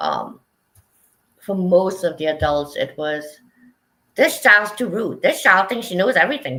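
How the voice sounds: A bright, sharp tone with big pitch swings at a fairly slow pace. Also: woman.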